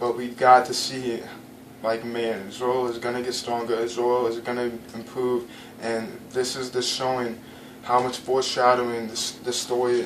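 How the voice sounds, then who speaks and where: A man with a medium pitch and monotone, flat intonation at a moderate pace, with audible room echo and noticeable background noise. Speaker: anime reviewer. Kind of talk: casual video commentary. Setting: home, in front of a blank wall. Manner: halting, many fillers and stumbles.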